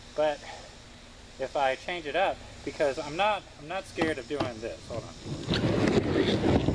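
Loud background noise sits behind a man speaking at a very slow pace. His pitch is fairly high, with ordinary pitch variation. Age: 40s. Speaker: amateur skateboarder vlogger. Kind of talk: casual vlog talk to camera; casual vlog chat. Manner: casual, filler-heavy. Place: garden. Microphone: earbuds.

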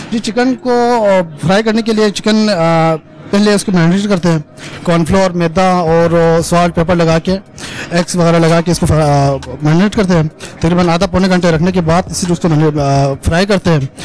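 A man speaks at a fairly slow pace in a high pitch, with ordinary pitch variation. Light background noise can be heard. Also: dry sound with no echo. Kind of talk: interview answer. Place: kitchen. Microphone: handheld.

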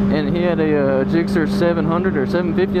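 A fairly quick pace over loud background noise, with dry sound and no echo. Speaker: motorcycle vlogger. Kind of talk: casual vlog chat. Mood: excited, relaxed. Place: motorbike. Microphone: helmet.

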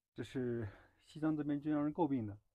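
A man speaks at a fairly quick pace with ordinary pitch variation. The sound is dry with no echo, over a quiet background. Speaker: travel vlogger. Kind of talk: casual vlog chat. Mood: mildly complaining. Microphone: phone near.

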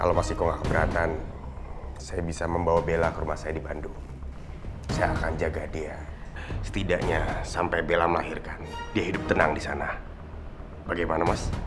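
A man speaks fairly fast, with clear music audible behind him. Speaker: drama actor. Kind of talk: scripted drama dialogue. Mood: calm persuasive, serious.

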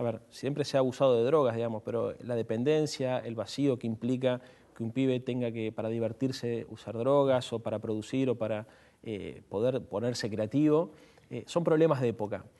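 Here a man speaks at medium pitch and a moderate pace. His tone is dark and mellow, with fairly even intonation. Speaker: youth political activist; guest. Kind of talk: panel discussion. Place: studio.

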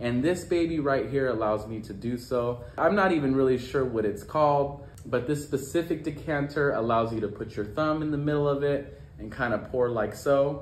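A man talks at a moderate pace with hardly any pauses and ordinary pitch variation. Room echo is audible along with light background noise. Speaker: wine blogger. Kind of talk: casual vlog review. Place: home room.

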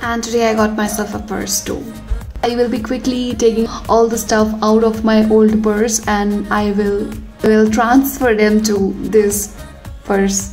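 Faint music sits behind a woman who talks at a fairly slow pace in a monotone, flat intonation. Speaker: art vlogger. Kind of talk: casual vlog chat. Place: hall. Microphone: phone near.

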